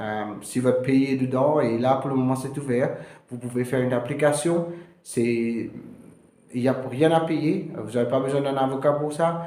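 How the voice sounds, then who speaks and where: A man's medium-pitched voice at a fairly slow pace, fairly even in intonation, with audible room echo. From Mauritius. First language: Mauritian Creole (speaking French). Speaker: immigration lawyer. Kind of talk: informational video talk. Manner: halting, many hesitations.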